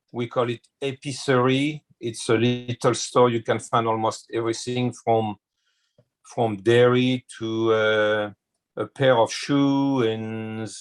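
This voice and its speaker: A man with a French accent speaks very slowly at a medium pitch in a monotone, flat intonation. The sound is dry and close, with no echo. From France, small village near Chartres. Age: 60s. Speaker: chef. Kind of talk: interview. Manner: hesitant, with frequent fillers.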